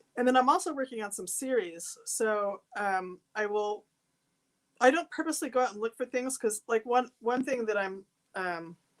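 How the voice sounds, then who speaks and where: Someone with a West Coast accent speaks at a moderate pace with lively intonation. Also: woman, fairly high pitch for a woman. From Seattle, US Pacific Northwest. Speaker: artist and photographer. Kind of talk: interview. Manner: halting.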